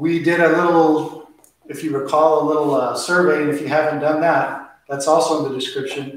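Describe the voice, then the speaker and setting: A man's voice in strong room echo. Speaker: flamenco dance teacher. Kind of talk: lecture. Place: hall. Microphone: camera far.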